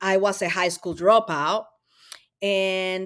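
On a very clean recording with a silent background, a woman with a Spanish accent talks at a fairly slow pace in a medium pitch. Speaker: mental health advocate. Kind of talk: interview conversation.

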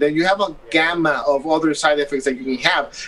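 Noticeable background noise surrounds a man whose voice is fairly high. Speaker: doctor. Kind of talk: expert interview.

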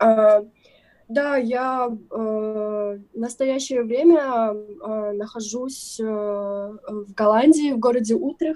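Speaking very slowly, a woman has a fairly high pitch and a dark, mellow tone. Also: ordinary pitch variation. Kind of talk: casual interview chat.

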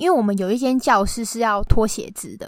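Fairly quick, fairly high-pitched speech from a woman. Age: 20s. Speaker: podcast guest. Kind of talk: casual chat. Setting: remote recording.

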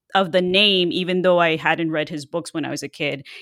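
A woman with a fairly low pitch speaks in a plain, everyday voice at a moderate pace. The sound is dry and close with no echo, on a very clean recording with a silent background. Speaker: podcast co-host, horror superfan. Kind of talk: casual chat.

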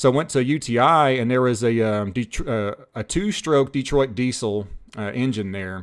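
You hear a man with an ordinary speaking voice, pitched in the medium range. His pitch variation is ordinary and his pace is moderate. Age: 30s. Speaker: diesel mechanic and YouTuber. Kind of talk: casual chat.

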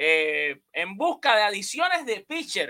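Raising and projecting his voice, a man speaks at an extremely high pitch with very wide pitch swings. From Cuba. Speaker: sports podcast host. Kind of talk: casual chat with call-in listeners.

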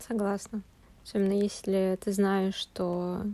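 A woman speaks at a medium pitch. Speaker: podcast host. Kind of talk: casual chat.

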